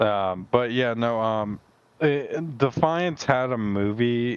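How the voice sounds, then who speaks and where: Very slowly, a man speaks with ordinary pitch variation. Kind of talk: casual chat. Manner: halting, stuttering.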